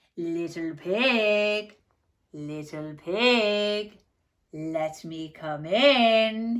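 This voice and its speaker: A female-sounding, put-on character voice, growling at a medium pitch and a very slow pace. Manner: menacing, coaxing.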